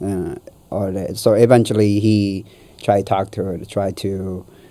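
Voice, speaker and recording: With an Ethiopian accent, a man speaks in a fairly low pitch, his tone dark and mellow and his intonation monotone and flat. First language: Amharic. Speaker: guest sharing life story. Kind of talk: casual interview. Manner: halting.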